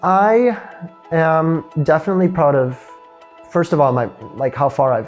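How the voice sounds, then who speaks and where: Over music in the background, a man with a Midwestern American accent speaks at a moderate pace. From Illinois, USA. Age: 20s. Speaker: physics student. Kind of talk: interview answer.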